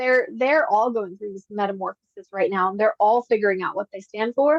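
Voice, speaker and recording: A woman with a Pennsylvania accent and ordinary pitch variation. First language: Pennsylvania Dutch. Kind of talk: casual interview conversation.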